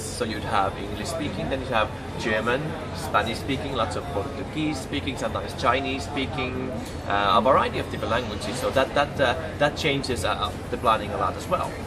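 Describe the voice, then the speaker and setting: A man with ordinary pitch variation, music in the background and audible room echo. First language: Finnish. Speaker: cruise director. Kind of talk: interview. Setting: aboard a cruise ship. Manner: halting.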